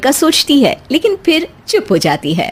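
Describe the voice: At a fairly slow pace, a woman is talking.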